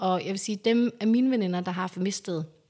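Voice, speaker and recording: Here is a woman with an ordinary speaking voice. Her pitch is medium, with ordinary pitch variation. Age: 30s. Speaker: interviewee sharing fertility story. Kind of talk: personal testimony. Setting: at home.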